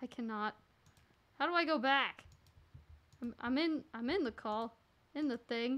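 A woman speaks at a high pitch, with long, frequent pauses. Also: ordinary pitch variation, moderate pace. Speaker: gaming livestreamer. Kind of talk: casual gaming livestream chat. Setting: online voice chat while streaming. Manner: animated. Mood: flustered, confused. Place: home room.

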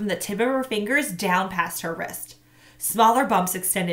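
This is a natural voice reading a text aloud.

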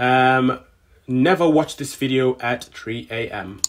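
A man talks with ordinary pitch variation. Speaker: YouTuber. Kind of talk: reaction video, with his own scary-story clips played and narrated over. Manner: animated, self-mocking, casual. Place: home room. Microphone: studio mic.

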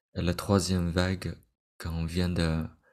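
Against a quiet background, a man speaks at a very slow pace in a very deep, low, monotone voice with flat intonation. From Vietnamese immigrant family. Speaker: meditation teacher. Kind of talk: lecture. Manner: halting. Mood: calm, gentle. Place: home room.

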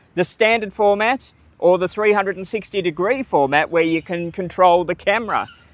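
The voice moves at a fairly slow pace with ordinary pitch variation, in a dry sound with no echo. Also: man, high pitch for a man. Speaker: travel vlogger. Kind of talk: casual vlog chat. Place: open country.

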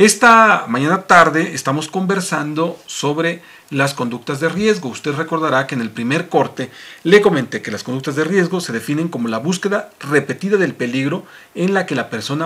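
A man talks at a moderate pace with lively intonation. His loudness swings widely. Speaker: show host. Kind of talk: radio talk show hosting. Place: studio. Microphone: studio mic.

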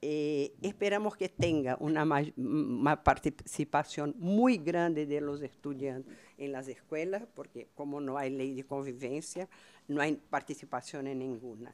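A woman's very deep, low voice at a fairly slow pace, in a Portuguese accent. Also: ordinary pitch variation. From Brazil. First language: Portuguese (speaking Spanish). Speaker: researcher; speaker. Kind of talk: conference talk. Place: hall. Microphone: podium.

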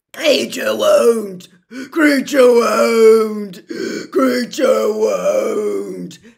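A loud, croaky put-on character voice comes through. It moves at a very slow pace. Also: man. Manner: loud, defiant.

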